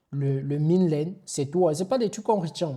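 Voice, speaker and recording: A somewhat breathy man's voice with a dark, mellow tone in a very clean recording with a silent background. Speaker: online IT instructor. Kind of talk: tutorial. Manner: casual with hesitations.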